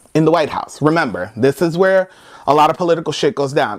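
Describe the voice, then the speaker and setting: A man with an American accent speaks loudly at a fairly quick pace. His tone is animated. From United States. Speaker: comedy vlogger. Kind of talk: comedic rant to camera. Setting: friend's house.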